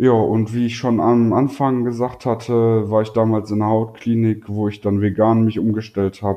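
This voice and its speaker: This man has a plain, everyday voice with a fairly low pitch. He talks at a fairly slow pace with fairly even intonation. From North Rhine-Westphalia, Germany. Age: 20s. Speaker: YouTuber with psoriasis. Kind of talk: casual interview.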